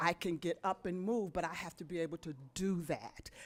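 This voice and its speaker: Here is a woman with a fairly low pitch and an unremarkable speaking voice. She keeps a moderate pace. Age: 60s. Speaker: public commenter, resident. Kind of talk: public comment at county board meeting. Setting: county board meeting.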